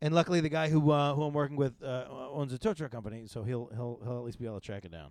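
A quiet man talks at a very fast pace with hardly any pauses. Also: medium pitch for a man, ordinary pitch variation. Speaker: podcast host; comedian. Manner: fast talker, speaks quietly.

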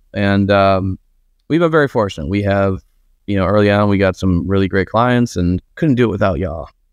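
This is a plain, everyday voice: a man with fairly low pitch talks at a fairly quick pace with ordinary pitch variation over a quiet background. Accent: American. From Buffalo, New York. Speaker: marketing agency owner. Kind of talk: podcast interview. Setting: video call.

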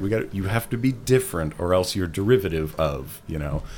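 Through noticeable background noise, a man talks at a fairly quick pace in a fairly low pitch with lively intonation. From Ottawa, Canada. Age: 30s. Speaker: freelance motion designer and instructor. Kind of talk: interview conversation.

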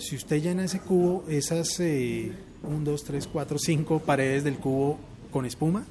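Someone speaks at a fairly slow pace with fairly even intonation, with noticeable background noise behind. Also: man, fairly high pitch for a man. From Bogotá, Colombia (born Puerto Rico). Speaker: radio announcer. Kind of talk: casual chat.

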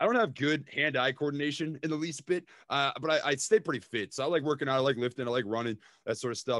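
A fairly high male voice with an American accent, very fast, on a very clean recording with a silent background and a dry, close sound with no echo. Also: ordinary pitch variation. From Minnesota. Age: 20s. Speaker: stock investor and YouTuber. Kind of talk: casual chat.

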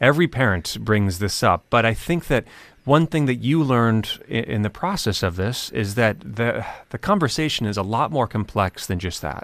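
A man speaks at a medium pitch and a moderate pace, with lively intonation and some vocal fry. The recording is very clean, with a silent background. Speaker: radio host. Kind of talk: radio interview.

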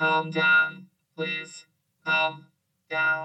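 A put-on character voice sounds robotic at a middle pitch. The intonation stays monotone and flat. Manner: calm, soothing.

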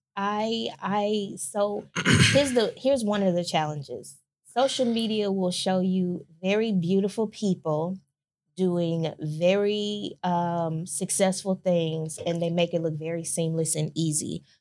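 A woman with an ordinary speaking voice talks at medium pitch and a fairly slow pace, with ordinary pitch variation. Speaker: podcast host and businesswoman. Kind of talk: casual chat. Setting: video recording.

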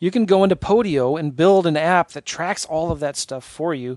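A man speaks at a moderate pace with ordinary pitch variation. The sound is dry and close with no echo, over a quiet background. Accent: West Coast. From San Diego, US. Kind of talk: podcast interview. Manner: laughs often.

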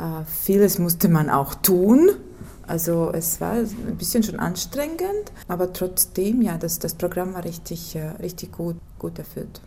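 Amid noticeable background noise, a woman with a fairly low pitch speaks at a fairly slow pace with ordinary pitch variation. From Latvia, Ventspils. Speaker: teacher. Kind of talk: interview. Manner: halting.

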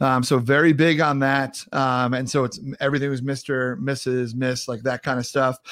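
The speaker has a New York accent and an animated, upbeat tone. The pace is moderate in a very clean recording with a silent background. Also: man. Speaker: podcast host and speaker. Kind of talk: casual interview chat.

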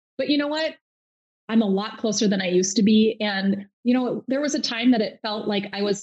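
Somewhat breathy, fairly high-pitched female voice with ordinary pitch variation at a moderate pace. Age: 40s. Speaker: nurse practitioner and health coach. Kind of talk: casual interview.

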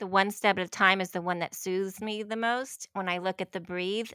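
With an American accent, a woman speaks at a medium pitch and a moderate pace, her intonation fairly even. Her tone is bright and sharp, and the recording is very clean with a silent background. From US South. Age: 50s. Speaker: divorced woman sharing a dating story. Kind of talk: interview.

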